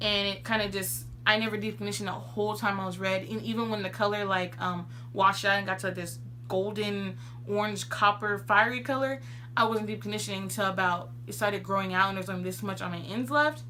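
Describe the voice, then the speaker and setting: Noticeable background noise and audible room echo fill the space as a woman speaks at a very fast pace. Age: 20s. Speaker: beauty vlogger. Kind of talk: tutorial.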